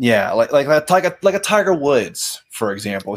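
The voice moves at a fairly quick pace with vocal fry and very wide pitch swings. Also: man. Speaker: podcast co-host guest. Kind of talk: casual conversation.

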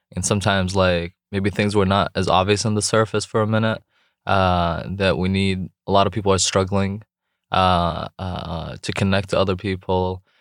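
A very clean recording with a silent background, a dry, close sound with no echo, a moderate pace and a monotone, flat intonation. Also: man, very deep, low pitch for a man. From Jordan. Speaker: entrepreneur and youth mentor. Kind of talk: interview.

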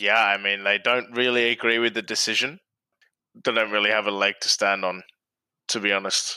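A man's bright, sharp tone at a fairly low pitch, with monotone, flat intonation, a moderate pace, and long, frequent pauses, in a very clean recording with a silent background. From Australia. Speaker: frequent contributor. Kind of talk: casual chat.

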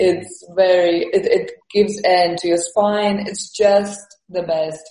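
A woman with an Estonian accent speaks at a medium pitch, her tone dark and mellow and somewhat breathy. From Estonia, moved to London at twelve. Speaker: comedian and physical performer. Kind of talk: casual interview. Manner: halting, with many fillers and repetitions.

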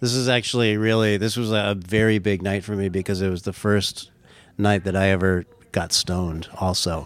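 A man with an American accent speaks in a plain, everyday voice. His pitch is fairly low, his intonation fairly even, and his pace moderate. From Southern California, Orange County. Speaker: singer-songwriter. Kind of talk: casual interview chat. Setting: in person, Santa Barbara.

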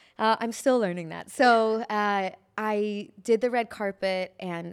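At a fairly slow pace, a woman speaks in a plain, everyday voice with ordinary pitch variation, on a very clean recording with a silent background. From US Midwest, Chicago. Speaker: entertainment journalist. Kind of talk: casual chat.

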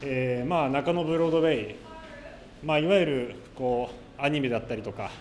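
A man at a fairly high pitch with ordinary pitch variation and a moderate pace, amid noticeable background noise and audible room echo. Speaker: radio reporter and interviewer. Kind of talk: on-location report. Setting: underground shopping arcade. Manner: loud, carrying voice; many filler words.

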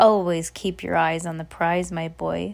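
A put-on character voice at a middle pitch, delivered at a moderate pace. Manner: cackling.

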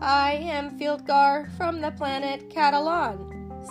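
Over clear background music, a man puts on a character voice at an extremely high pitch and a fairly slow pace.

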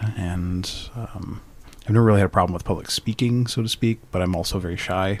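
Speaking at a fairly quick pace, a man with an unremarkable speaking voice keeps a fairly low pitch and fairly even intonation. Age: 40s. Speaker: podcast guest. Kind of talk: casual chat.

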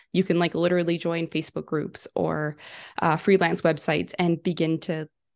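Fairly quick speech with vocal fry, in a Canadian accent, over a quiet background. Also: woman. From western Canada, Vancouver. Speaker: entrepreneur, social media ads specialist. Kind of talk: interview.

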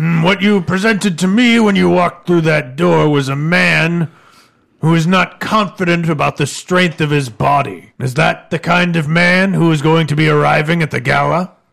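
At a moderate pace, a man uses a put-on character voice pitched fairly high. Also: ordinary pitch variation. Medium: actual play. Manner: blunt, probing, self-assured.

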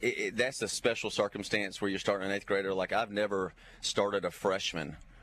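A man with an unremarkable speaking voice talks at a fairly quick pace on a very clean recording with a silent background. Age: 40s. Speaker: high school football coach. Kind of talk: interview.

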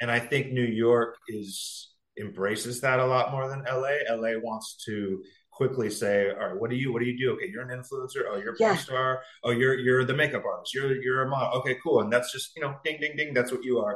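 Speaking with an American accent, a man uses an ordinary speaking voice at a medium pitch. His pace is fairly quick and his intonation fairly even. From US West Coast, San Diego. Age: 40s. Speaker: singer and adult performer. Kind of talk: casual interview.

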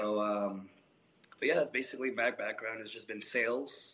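A man talks at a moderate pace with fairly even intonation. His tone is bright and sharp. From Colombia. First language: Spanish. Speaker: gym owner and coach. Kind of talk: interview.

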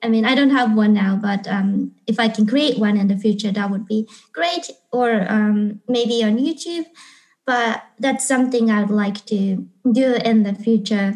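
With a Japanese accent, the somewhat breathy voice moves at a fairly slow pace with ordinary pitch variation. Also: woman, fairly high pitch for a woman. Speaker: English teacher and YouTuber. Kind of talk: interview.

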